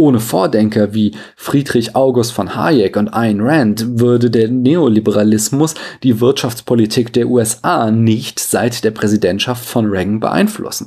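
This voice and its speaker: At a fairly slow pace, this is a plain, everyday voice with ordinary pitch variation. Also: man, medium pitch for a man, very even loudness. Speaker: philosophy podcaster. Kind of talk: scripted lecture-style monologue.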